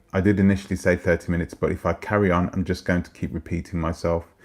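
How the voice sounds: In a put-on character voice, a man croaks at a very deep, low pitch. He talks at a very fast pace with fairly even intonation.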